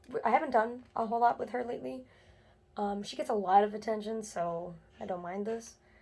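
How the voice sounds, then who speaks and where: Soft-spoken, the voice moves at a moderate pace with ordinary pitch variation. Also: woman. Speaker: doll collector vlogger. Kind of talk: casual vlog chat. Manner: quiet, soft-spoken; hesitant, many fillers.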